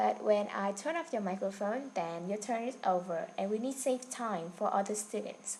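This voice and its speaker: Lively in intonation, a woman with a fairly high pitch speaks at a fairly slow pace. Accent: Vietnamese. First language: Vietnamese. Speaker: online English teacher. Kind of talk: online class instruction. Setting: online video class.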